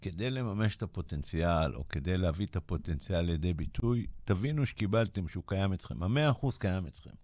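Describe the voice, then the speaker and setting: Over a silent background in a very clean recording, a man with a very deep, low pitch talks at a fairly quick pace with lively intonation and hardly any pauses. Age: 60s. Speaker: business coach. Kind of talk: radio interview. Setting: radio studio.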